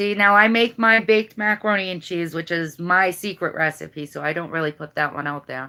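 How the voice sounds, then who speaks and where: A woman with a strong Boston accent talks at a fairly quick pace in a bright, sharp tone and a fairly low pitch. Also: ordinary pitch variation, hardly any pauses. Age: 40s. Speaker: YouTuber. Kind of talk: casual chat.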